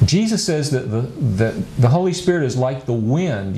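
A man speaks at a medium pitch and a moderate pace. Light background noise and audible room echo are present. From USA. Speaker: pastor and Bible lecturer; Bible teacher. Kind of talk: lecture. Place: studio.

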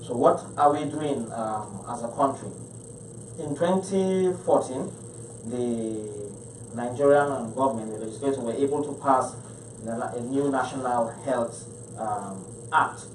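Over light background noise and audible room echo, a man talks at a very slow pace. He uses ordinary pitch variation and long, frequent pauses. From Nigeria, Niger State. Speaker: state health commissioner. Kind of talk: panel presentation. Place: meeting room. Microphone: podium.

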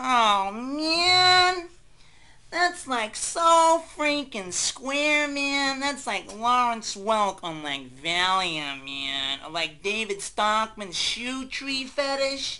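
A female-sounding voice, fairly high in pitch with very wide pitch swings, at a very slow pace. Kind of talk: comic overacting. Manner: rambling, spacey, filler-laden.

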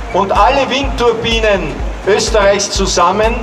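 A man talks at a very slow pace while clear music sounds behind him. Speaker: museum director and ecologist. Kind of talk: public speech. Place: street. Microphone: handheld.

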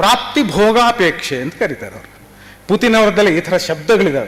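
A man speaks at a high pitch with lively intonation. Noticeable background noise runs beneath him. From Karnataka. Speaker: theatre director and literary scholar. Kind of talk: seminar talk. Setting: university seminar. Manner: halting.

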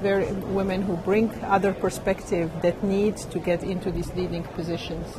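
This clip features a woman speaking. The sound is dry with no echo, and there is noticeable background noise. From Morocco. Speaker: biotech R&D executive. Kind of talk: interview. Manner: hesitant with fillers. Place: hall. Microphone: handheld.

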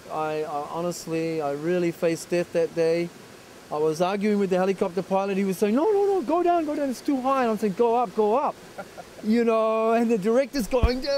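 A man talks at a fairly quick pace in a dry recording with no echo and light background noise. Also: lively intonation. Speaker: interviewee, actor. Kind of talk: interview answer. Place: forest. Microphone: handheld.

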